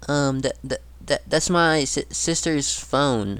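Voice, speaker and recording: Putting on a shaky character voice, a man with a fairly high pitch speaks at a fairly slow pace. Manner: stammering nervously.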